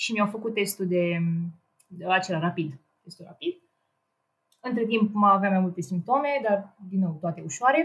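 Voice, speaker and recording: A woman with a medium pitch and a somewhat breathy voice takes long, frequent pauses. Her loudness swings widely. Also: lively intonation, moderate pace. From Romania, Ploiești. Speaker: engineering student and programmer. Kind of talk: casual chat.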